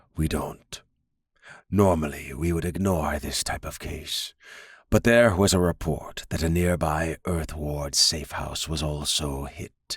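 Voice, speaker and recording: A man puts on a character voice, very deep and low in pitch. He goes at a fairly slow pace in a very clean recording with a silent background. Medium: read story. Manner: measured, authoritative.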